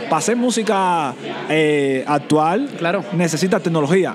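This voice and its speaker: Background noise is noticeable throughout. Over it, a man talks at a high pitch. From Cuba, Santiago de Cuba. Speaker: DJ and music producer. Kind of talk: interview.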